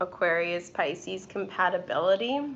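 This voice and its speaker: This is a woman talking. She has a New York accent. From New York City. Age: 20s. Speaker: tarot reader and YouTuber. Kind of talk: casual live stream chat. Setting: live stream. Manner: hesitant, many fillers.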